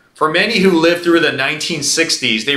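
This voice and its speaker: A man is speaking, and audible room echo surrounds his voice. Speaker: pastor. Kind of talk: sermon. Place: church. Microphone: lapel.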